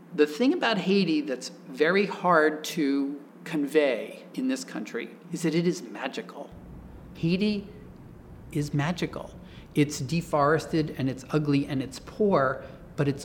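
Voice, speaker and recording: An American man with an ordinary speaking voice, fairly high in pitch, speaks at a fairly slow pace with ordinary pitch variation. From Oklahoma. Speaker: architect and author. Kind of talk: interview.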